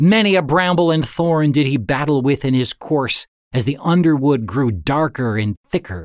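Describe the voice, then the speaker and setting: With very even loudness, a man speaks in lively intonation. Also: moderate pace. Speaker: audiobook narrator. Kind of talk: literary audiobook reading, solemn narration of a saint's legend. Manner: measured, even-paced, formal storytelling tone.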